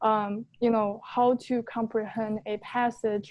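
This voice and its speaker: This woman's voice sits fairly high. Her intonation stays monotone and flat. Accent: non-native. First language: not English. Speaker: LSAT student in coaching session. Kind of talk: casual chat. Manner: hesitant, many fillers.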